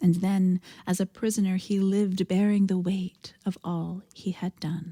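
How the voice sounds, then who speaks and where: Somewhat breathy, a woman of medium pitch speaks at a fairly slow pace in a flat monotone, with a dry, close sound and no echo. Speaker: minister giving a sermon. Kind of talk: sermon liturgical prayer and reflection.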